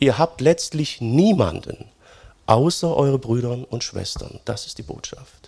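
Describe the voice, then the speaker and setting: Speaking at a fairly slow pace, a man with a plain, everyday voice and a medium pitch uses lively intonation. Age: 40s. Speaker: pastor. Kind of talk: sermon. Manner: conversational, many fillers.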